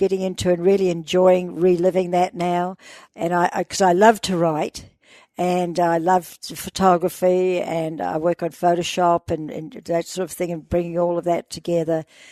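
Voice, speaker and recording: Against a quiet background, a woman with a New Zealand accent speaks at a fairly low pitch and a moderate pace, her dark, mellow tone held in a monotone, flat intonation, the sound dry and close with no echo. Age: 80s+. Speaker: explorer. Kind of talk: interview.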